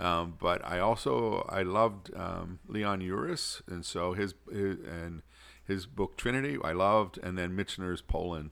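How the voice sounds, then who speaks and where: A very deep, low-pitched man's voice with an American accent, fairly slow, with ordinary pitch variation, on a very clean recording with a silent background. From Pittsburgh, US. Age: old. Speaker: archbishop. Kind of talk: interview.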